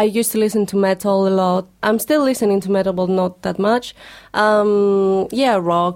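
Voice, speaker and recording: Speaking with a Greek accent, a woman keeps a moderate pace, very even loudness, fairly even intonation and a medium pitch. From Greece. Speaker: singer. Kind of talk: casual chat. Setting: studio.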